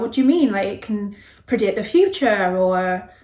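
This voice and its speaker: A woman at a medium pitch and a moderate pace, with audible room echo. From West Country, England (Bristol). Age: 30s. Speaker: tarot reader. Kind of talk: casual self-introduction to camera. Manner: hesitant, many filler ums.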